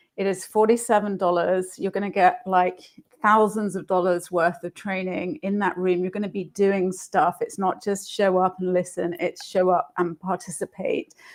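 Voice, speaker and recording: With a London accent, a woman talks at a fairly slow pace and medium pitch with fairly even intonation. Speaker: marketing entrepreneur. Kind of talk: live stream interview. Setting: live video stream.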